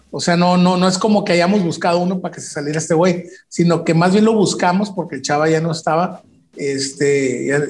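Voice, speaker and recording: A man speaks with a high pitch and fairly even intonation. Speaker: rock musician. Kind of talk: casual chat.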